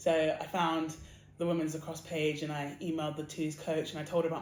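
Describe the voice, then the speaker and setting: The speaker has an English accent and talks at a fairly quick pace. Room echo is audible. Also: woman. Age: 20s. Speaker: athlete. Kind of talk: interview.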